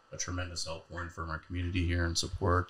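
A man's very deep, low voice with a bright, sharp tone. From North Dakota. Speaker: county sheriff. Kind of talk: casual interview. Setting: studio. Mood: calm, measured. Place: studio. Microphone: studio mic.

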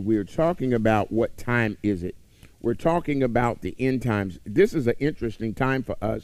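Speaking at a moderate pace, a man uses ordinary pitch variation. The sound is dry, with no echo. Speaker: preacher. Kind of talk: sermon. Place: church.

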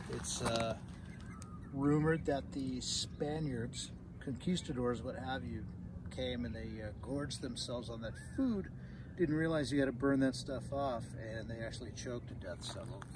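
Over noticeable background noise, a man talks at a moderate pace with long, frequent pauses, the sound dry with no echo. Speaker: nature guide on a walk. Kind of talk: casual explanation. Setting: outdoors on a walk. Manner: quiet. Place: open country.

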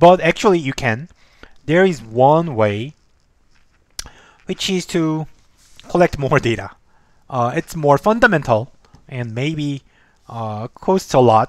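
A man speaks at a very slow pace, with long, frequent pauses. The sound is dry with no echo, over a quiet background. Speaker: instructor. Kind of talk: lecture. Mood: relaxed, light laughter. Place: home room. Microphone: headset.

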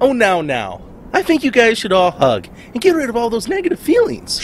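Clear background noise sits behind a fairly high-pitched voice. The pace is moderate. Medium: machinima. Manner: chirpy, earnest, oblivious.

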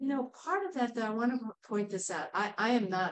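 A woman at a very fast pace against a quiet background. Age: 70s. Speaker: community organizer. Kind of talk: community group presentation and discussion. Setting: in-person community gathering. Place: meeting room. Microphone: camera far.

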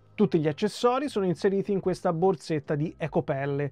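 A man's voice comes through dry with no echo, faint music playing in the background. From Italy. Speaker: hi-fi and music YouTuber; music YouTuber. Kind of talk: product review. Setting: small home studio. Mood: calm, expressive explaining. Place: home room.

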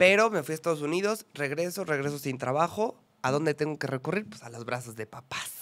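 Speaking fairly quickly in a central Mexican accent, a man with a fairly high pitch uses lively intonation and big shifts in loudness. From Mexico, Puebla. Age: 20s. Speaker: journalist and actor; podcast guest, journalist. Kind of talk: interview. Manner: expressive. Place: studio. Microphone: studio mic.

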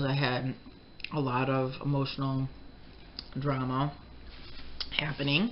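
A woman speaks with a very deep, low pitch. Light background noise is audible. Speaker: mukbang vlogger. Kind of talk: casual vlog chat. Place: kitchen.

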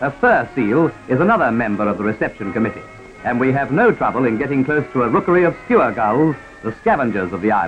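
A man at a medium pitch, very fast pace and lively intonation, with music in the background. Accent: Australian. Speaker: newsreel commentator. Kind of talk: 1940s newsreel narration. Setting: vintage archival recording. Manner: brisk, humorous.

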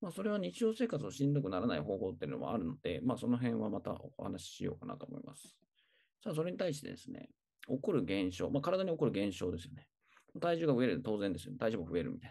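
Very fast and full of vocal fry, a man's dark, mellow voice swings very widely in pitch and shows big swings in loudness. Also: medium pitch for a man. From Tokyo. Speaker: personal trainer. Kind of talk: tutorial. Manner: hesitant, many fillers.

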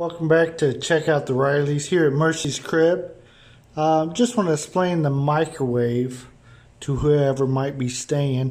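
With an American accent, a man speaks at a fairly slow pace in a fairly high pitch, with ordinary pitch variation. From Indiana, US Midwest. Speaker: vlogger and rental home owner. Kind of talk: tutorial. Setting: indoors at rental house kitchen. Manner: casual, with fillers. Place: kitchen. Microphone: phone near.

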